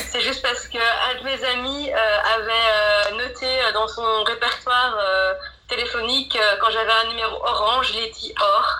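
With noticeable background noise and audible room echo, a woman speaks in a high, monotone, flat voice at a fairly slow pace. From Belgium, Mons area. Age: 30s. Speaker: blogger and digital marketer. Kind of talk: interview. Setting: remote call. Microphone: poor sound quality.

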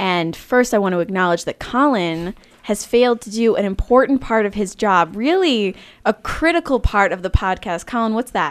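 A woman speaks at a moderate pace in an unremarkable speaking voice. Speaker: podcast co-host. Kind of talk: casual chat.

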